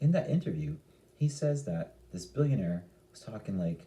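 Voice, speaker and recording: A man speaks at a moderate pace in a fairly low, somewhat breathy voice with a dark, mellow tone and very wide pitch swings. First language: Italian. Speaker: stock market youtuber. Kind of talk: casual vlog commentary. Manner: animated.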